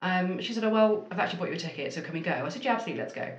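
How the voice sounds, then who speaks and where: Somewhat breathy female speech in a room with audible echo. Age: 30s. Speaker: marketing agency owner. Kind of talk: interview.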